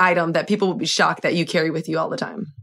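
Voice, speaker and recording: A woman with an American accent speaks in a bright, sharp tone. Her delivery is animated. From US, Miami. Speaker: podcast host, in-arena sports host. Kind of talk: casual interview chat.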